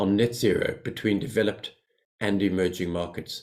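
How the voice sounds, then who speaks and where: At a moderate pace, a man speaks with a South African accent. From South Africa and Zambia. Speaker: financial company executive. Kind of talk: prepared speech. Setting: webinar.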